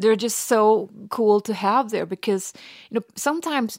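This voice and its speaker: In a Danish accent and at a moderate pace, the speaker shows ordinary pitch variation, on a very clean recording with a silent background and a dry, close sound with no echo. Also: woman. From Denmark, rural Western Jutland. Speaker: author. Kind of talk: interview.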